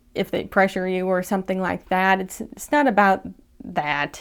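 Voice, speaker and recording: A woman's medium-pitched voice, an unremarkable speaking voice at a fairly quick pace, on a very clean recording with a silent background. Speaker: video commentator. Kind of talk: video commentary.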